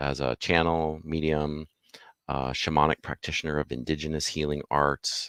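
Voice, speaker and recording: A man's very deep, low voice in a monotone, flat intonation, with a dry, close sound and no echo. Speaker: spiritual mentor and livestream host. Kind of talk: live-streamed interview. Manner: radio announcer style.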